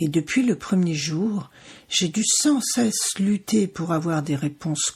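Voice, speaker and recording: A woman speaks at a fairly slow pace in a somewhat breathy voice. Her pitch is fairly low, with ordinary variation. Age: 60s. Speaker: podcast host, cancer survivor. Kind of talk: scripted podcast introduction. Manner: formal.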